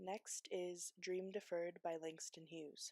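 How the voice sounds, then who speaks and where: Soft-spoken and fairly slow, a woman talks in a monotone, flat intonation with a medium pitch and a dark, mellow tone, the sound dry and close with no echo. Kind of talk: ASMR poetry reading.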